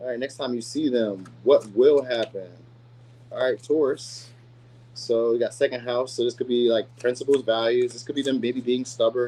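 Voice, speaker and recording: A man speaking at a very fast pace, with ordinary pitch variation. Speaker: tarot reader. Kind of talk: tarot reading. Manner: casual.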